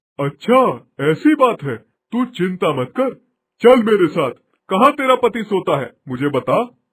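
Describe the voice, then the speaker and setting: A man's cartoonish character voice, high-pitched, with very wide pitch swings. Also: moderate pace. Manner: solemn, fatherly.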